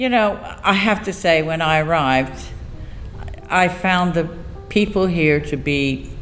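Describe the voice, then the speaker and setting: A woman's fairly low voice in an English accent, fairly slow and lively in intonation, with audible room echo and music in the background. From England. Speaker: stage actor. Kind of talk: casual interview chat. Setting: theatre stage set.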